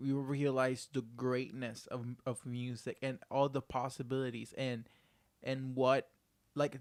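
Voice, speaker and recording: A man with a medium-pitched voice speaks fairly slowly in a Spanish accent. His intonation is monotone and flat. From Puerto Rico. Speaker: podcast producer. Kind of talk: casual chat.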